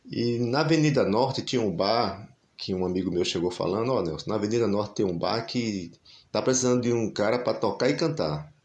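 A man talks at a fairly quick pace and a medium pitch. His intonation is lively, and room echo is audible. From Brazil, Recife (Pernambuco). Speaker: singer-songwriter and music teacher. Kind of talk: interview conversation.

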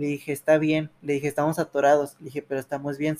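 A man speaks at a fairly quick pace with a fairly high pitch. The sound is dry and close, with no echo. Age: 20s. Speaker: university student, accident survivor. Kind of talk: testimony. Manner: halting.

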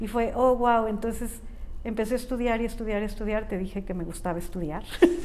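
Over noticeable background noise and audible room echo, a woman talks at a fairly quick pace in a fairly high pitch. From Mexico, San Miguel de Allende. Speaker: life and business coach. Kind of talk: interview conversation. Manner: animated.

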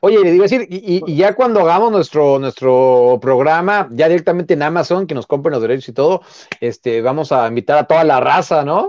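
Fairly high in pitch, a man speaks with a normal speaking voice and lively intonation at a fairly quick pace. The sound is dry and close, with no echo. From Mexico City, Xochimilco. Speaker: football journalist, former player. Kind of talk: casual chat. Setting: live stream.

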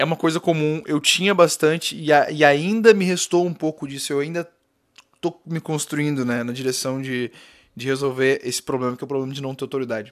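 A man talks at a fairly quick pace in a plain, everyday voice. His pitch is fairly high with ordinary variation, on a very clean recording with a silent background. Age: 20s. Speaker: podcast host, digital entrepreneur. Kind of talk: solo podcast monologue. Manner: casual, filler-heavy.

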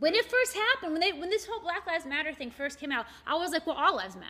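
Her pitch swings very widely. A woman talks in a raised, projected voice. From Morgantown, West Virginia. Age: 40s. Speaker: shop owner and art event organizer. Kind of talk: casual chat.

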